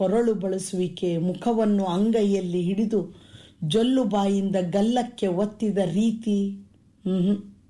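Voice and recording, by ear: A natural voice reads the text aloud.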